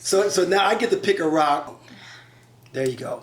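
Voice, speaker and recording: A man with an American accent and an unremarkable speaking voice, lively in intonation, at a moderate pace. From Chicago. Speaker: relationship talk show host. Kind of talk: casual interview.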